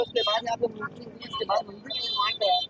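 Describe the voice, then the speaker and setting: A man's extremely high-pitched voice with lively intonation, a dry, close sound with no echo, and noticeable background noise. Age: 60s. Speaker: local temple devotee. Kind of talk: news interview.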